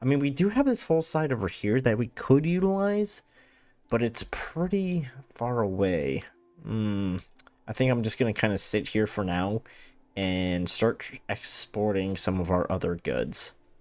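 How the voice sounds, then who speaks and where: At a moderate pace, a man of medium pitch speaks with very wide pitch swings. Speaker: gaming YouTuber. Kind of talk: let's play commentary. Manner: casual, thinking aloud with fillers.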